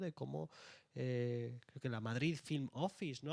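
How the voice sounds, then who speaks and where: A man speaks with an Andalusian accent and ordinary pitch variation. The sound is dry and close, with no echo. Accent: Andalusian (Jaén). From Andalusia, Jaén. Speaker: author. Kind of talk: panel discussion.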